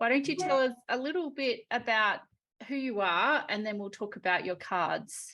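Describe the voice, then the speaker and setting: Against a quiet background, a woman with a fairly high, bright, sharp voice speaks at a moderate pace with lively intonation. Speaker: card deck course creator. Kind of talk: interview host.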